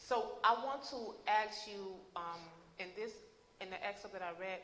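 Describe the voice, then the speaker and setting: Over noticeable background noise and audible room echo, a woman with a medium-pitched voice talks at a fairly slow pace, with ordinary pitch variation and big swings in loudness. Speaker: event interviewer. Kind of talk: interview.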